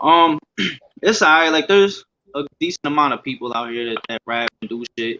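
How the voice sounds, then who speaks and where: With an American accent, a man speaks in an unremarkable speaking voice pitched fairly high for a man. His intonation is lively and his pace moderate. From US Northeast, Scranton, Pennsylvania. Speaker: rapper. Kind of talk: casual interview.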